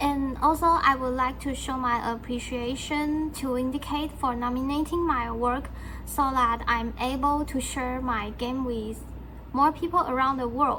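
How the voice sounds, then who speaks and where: A woman at a fairly slow pace, with noticeable background noise and audible room echo. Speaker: game developer. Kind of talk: thank-you speech.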